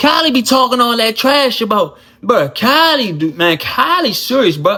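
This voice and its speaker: A man with an American accent uses a raised, projected voice at an extremely high pitch, with very wide pitch swings and an animated tone. His pace is moderate and his loudness very even, over noticeable background noise. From Washington DC. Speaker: YouTuber, former inmate. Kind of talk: casual storytelling monologue.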